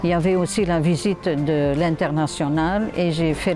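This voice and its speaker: With music in the background, a woman talks fairly slowly at a fairly low pitch, her intonation fairly even. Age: 70s. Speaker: lay missionary nurse. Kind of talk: interview testimony. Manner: halting, many hesitations.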